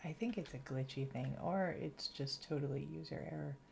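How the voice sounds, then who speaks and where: A woman with a slight Massachusetts accent speaks at a moderate pace, her pitch very deep and low. Her tone is dark and mellow, and somewhat breathy. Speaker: gaming streamer. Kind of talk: casual livestream commentary while gaming.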